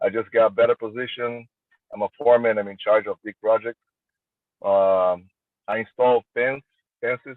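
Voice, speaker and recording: A man with a Brazilian Portuguese accent, big swings in loudness, and long, frequent pauses. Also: moderate pace. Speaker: armwrestler. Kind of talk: interview. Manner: halting.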